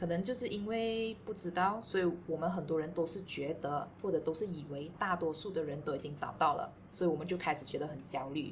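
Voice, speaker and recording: A woman speaks at a fairly quick pace with hardly any pauses, her fairly low voice showing ordinary pitch variation. Audible room echo is present. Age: 30s. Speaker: podcast co-host, office worker. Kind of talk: casual chat.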